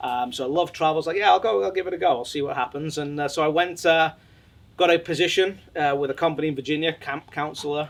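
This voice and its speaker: A man at a fairly high pitch, talking at a very fast pace with ordinary pitch variation. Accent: English. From England. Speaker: sports company executive. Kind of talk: interview.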